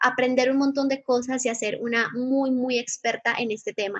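This woman speaks at a moderate pace in a high voice, her intonation fairly even against a quiet background. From Colombia, Medellín. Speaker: digital marketing mentor and content creator. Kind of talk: lecture.

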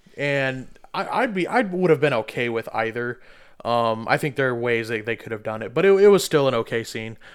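Using a plain, everyday voice, a man speaks at medium pitch and a fairly quick pace with lively intonation. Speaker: podcast host. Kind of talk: casual chat. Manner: joking, profane.

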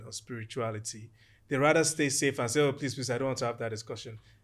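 The recording is very clean, with a silent background. A man speaks at medium pitch with ordinary pitch variation. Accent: Nigerian. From Nigeria, Ijebu Ode (Yoruba). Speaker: architect and property developer. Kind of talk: casual interview chat.

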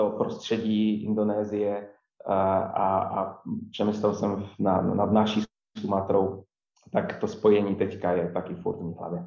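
Speaking at a very slow pace, a man with a fairly low pitch and a dark, mellow tone keeps a monotone, flat intonation. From Poland, near Wrocław. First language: Polish (speaking Czech). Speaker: coffee chain manager. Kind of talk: interview. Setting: remote recording. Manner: halting, many repetitions.

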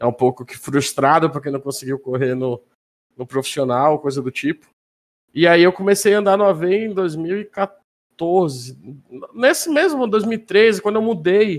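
Lively in intonation and high in pitch, a man talks at a fairly slow pace. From Manaus, northern Brazil. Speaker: sim racing driver and streamer. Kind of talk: casual chat.

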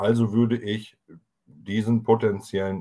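Speaking at a very slow pace, a man delivers his words in a dark, mellow tone with monotone, flat intonation. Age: 30s. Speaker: podcast co-host, network marketer. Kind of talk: sales pitch.

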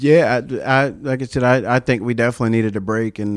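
This speaker has a Southern US accent and fairly even intonation. The delivery moves at a very fast pace. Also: man. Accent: Southern country. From US South, upstate South Carolina. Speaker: army veteran and comedian. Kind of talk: casual chat. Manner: halting.

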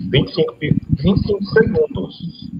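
Noticeable background noise runs under this recording. A man speaks with very wide pitch swings. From Teresina, Piauí, Brazil. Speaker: sports web show co-host. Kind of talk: casual live stream chat.

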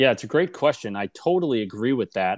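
A man speaks with an American accent. The recording is very clean and dry, with a silent background and a close sound with no echo. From US Northeast, Boston suburbs. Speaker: author and software developer. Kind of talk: interview. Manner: hesitant, many fillers.

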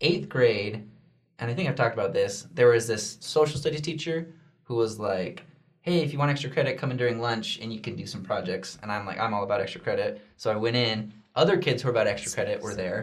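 In an American accent, a man talks at a very fast pace with a medium pitch, a somewhat breathy voice and lively intonation, with audible room echo. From Oregon, Junction City. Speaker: youth church video host. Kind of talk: casual chat.

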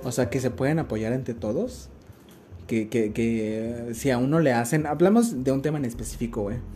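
A man at medium pitch talks at a moderate pace with ordinary pitch variation. Music plays in the background and the room echo is audible. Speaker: podcast host. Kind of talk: casual chat. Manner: halting.

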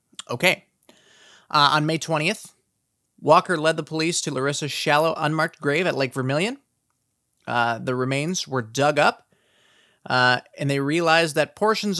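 In an Upper Midwest accent, the speaker goes at a moderate pace with long, frequent pauses, in a very clean recording with a silent background. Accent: Upper Midwest American. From South Dakota. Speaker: true crime podcast host. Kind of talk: casual true crime narration. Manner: animated.

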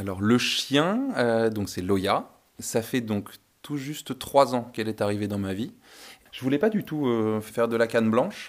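This is an ordinary speaking voice from a man at medium pitch. He talks at a fairly slow pace with ordinary pitch variation. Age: 20s. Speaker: visually impaired guide dog owner. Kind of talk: testimony.

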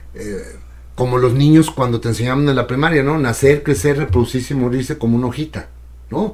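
An ordinary speaking voice from a man, medium in pitch. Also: ordinary pitch variation, fairly quick pace. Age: 60s. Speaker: radio and TV broadcaster. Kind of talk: casual chat.

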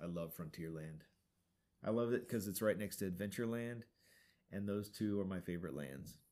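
A man speaks with a fairly low pitch and a dark, mellow tone. His intonation is lively, with long, frequent pauses. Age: 40s. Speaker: podcast co-host. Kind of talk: casual chat.

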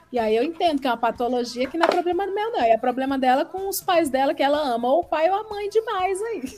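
A woman's high-pitched, very fast voice with very wide pitch swings and hardly any pauses, over noticeable background noise. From Brazil, Ceará. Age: 30s. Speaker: podcaster and content creator. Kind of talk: casual chat. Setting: live stream.

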